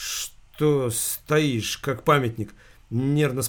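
Someone does plain reading aloud.

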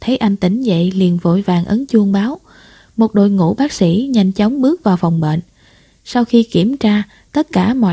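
The reading is done in an unforced reading voice. Its intonation is lively.

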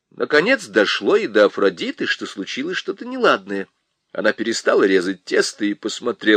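In a natural voice, a passage is read aloud over a quiet background.

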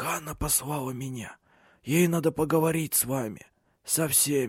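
Using a put-on character voice, a man speaks hoarsely at a moderate pace and a fairly high pitch with ordinary pitch variation, in a very clean recording with a silent background.

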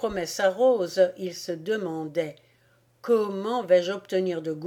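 The speaker does plain reading aloud, and the pitch rises and falls in an ordinary way.

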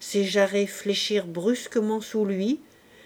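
What you hear is plain reading aloud.

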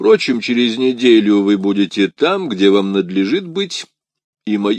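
Quiet background behind plain reading aloud

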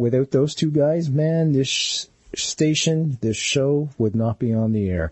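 This man's voice is somewhat breathy. His pitch variation is ordinary. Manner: animated, warm and chatty, playful, ad-libbing to listeners in a friendly showman style.

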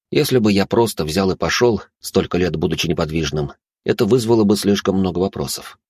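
Over quiet surroundings, the voice reads in an unforced way.

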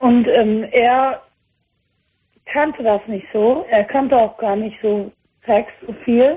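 A woman speaks slowly with a fairly high pitch. Her voice has a slightly husky edge. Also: ordinary pitch variation.

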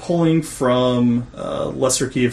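A man in an American accent talks at a medium pitch while noticeable background noise runs behind him. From Washington state, US. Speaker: co-host. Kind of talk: casual interview chat.

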